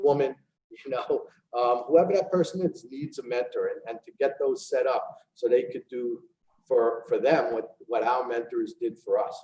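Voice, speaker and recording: Speaking in a New York accent, this man keeps a moderate pace. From New York City, the Bronx. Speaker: real estate executive. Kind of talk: casual interview.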